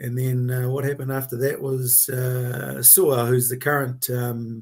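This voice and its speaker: The man's voice sits at medium pitch and is somewhat breathy. He talks at a fairly slow pace with monotone, flat intonation. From New Zealand, South Auckland (Otara). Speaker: workplace rights consultant. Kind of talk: casual interview. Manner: halting, many fillers.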